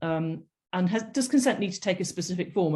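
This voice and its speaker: A woman is speaking. Her voice sounds somewhat breathy. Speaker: doctor giving a medicolegal webinar. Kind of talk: lecture. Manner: halting, many fillers.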